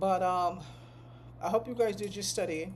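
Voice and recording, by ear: A woman speaks at a medium pitch and a moderate pace. Her pitch varies in an ordinary way.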